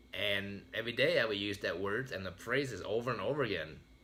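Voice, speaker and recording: Bright and sharp in tone, a man speaks at a moderate pace with ordinary pitch variation and audible room echo. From Vietnam, raised in US from age ten. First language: Vietnamese. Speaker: motivational speaker. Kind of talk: motivational speech.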